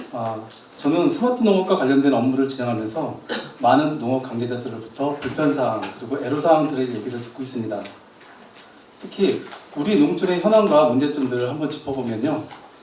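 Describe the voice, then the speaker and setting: Amid noticeable background noise and audible room echo, a man with a fairly high pitch talks at a fairly quick pace with ordinary pitch variation. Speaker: agricultural research institute representative. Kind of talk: public forum presentation.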